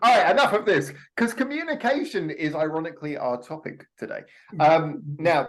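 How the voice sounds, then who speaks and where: A man's high voice with very wide pitch swings, at a moderate pace. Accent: southern English. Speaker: podcast co-host. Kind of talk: casual chat.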